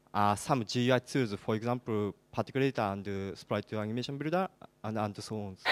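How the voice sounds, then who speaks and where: A man speaks at a medium pitch with ordinary pitch variation, recorded very cleanly against a silent background in a dry, close sound with no echo. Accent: Japanese. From Japan. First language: Japanese. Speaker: game engine developer, audience member. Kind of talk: audience question. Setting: conference hall with audience. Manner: halting.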